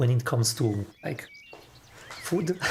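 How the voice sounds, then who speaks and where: The speaker has a non-native accent. Noticeable background noise runs under the voice. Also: man. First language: not English. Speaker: programmer live-streamer. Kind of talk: casual chat while live-coding. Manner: halting.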